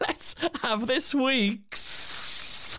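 A put-on character voice, fairly high and drawling, with hissing and light background noise. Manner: hissing, snake-like drawl.

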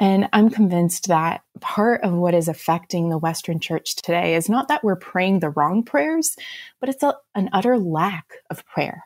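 Using a normal speaking voice, a woman with an American accent talks at a moderate pace with medium pitch and lively intonation. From Romania, raised as American missionary kid. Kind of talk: radio interview.

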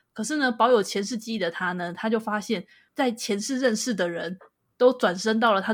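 A woman's plain, everyday voice, fairly high in pitch, with ordinary pitch variation at a fairly quick pace, in a very clean recording with a silent background. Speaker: podcast co-host. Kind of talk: casual chat.

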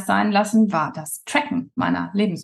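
A somewhat breathy woman speaks at a medium pitch. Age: 40s. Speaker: weight loss coach. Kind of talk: casual interview. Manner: hesitant with many fillers.

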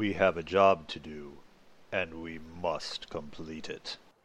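A man puts on a character voice. It sits at a very deep, low pitch. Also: fairly slow pace. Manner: scary, intimidating.

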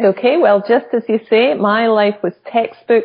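A woman speaks with a Scottish accent at a fairly high pitch. Her pace is moderate and her intonation fairly even. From Scotland. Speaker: author, former lawyer. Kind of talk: interview.

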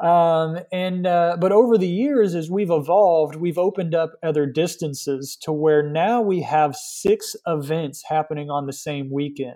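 A man with an American accent speaks at a moderate pace in a high-pitched voice with a dark, mellow tone, hardly pausing at all. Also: ordinary pitch variation. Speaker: cycling event organizer. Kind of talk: interview.

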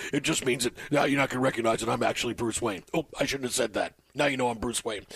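Putting on a gruff character voice, a man rattles along at a very fast pace with medium pitch and fairly even intonation.

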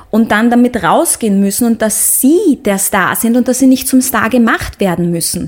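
Lively intonation over noticeable background noise. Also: woman. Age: 30s. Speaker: singer and actress. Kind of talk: casual interview. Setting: studio. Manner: halting, many fillers.

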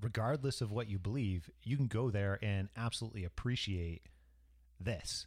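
A man with a fairly low pitch and a somewhat breathy voice keeps his loudness very even on a very clean recording with a silent background. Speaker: podcast host. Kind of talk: casual travel chat.

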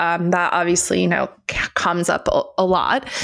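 A woman at a fairly slow pace over noticeable background noise. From Turkey. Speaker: podcast co-host on crypto and finance. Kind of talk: casual chat.

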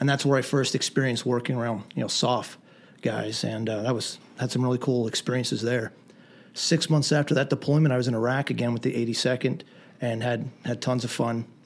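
Using a normal speaking voice, a man with an American accent talks at a fairly quick pace and a medium pitch, his intonation fairly even. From southern Pennsylvania, Lancaster County. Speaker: Army veteran and firearms instructor. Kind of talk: interview. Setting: studio.

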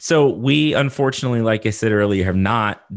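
In a very clean recording with a silent background, a man with a Texan accent talks at a fairly low pitch with ordinary pitch variation. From Texas. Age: 30s. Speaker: horticulture lecturer and podcast host. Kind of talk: casual interview.

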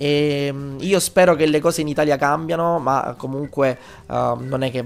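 A man's medium-pitched voice moves at a moderate pace, its intonation fairly even. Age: 20s. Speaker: game developer and teacher. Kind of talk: interview. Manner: halting.

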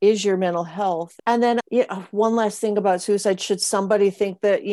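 An unremarkable speaking voice from a woman with an American accent, fairly even intonation and a moderate pace. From Montana. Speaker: podcast host. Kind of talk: interview.

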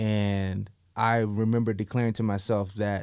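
A man's fairly low voice with an American accent, flat and monotone, on a very clean recording with a silent background. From central Florida. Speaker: former pro football player and entrepreneur. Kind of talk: interview.

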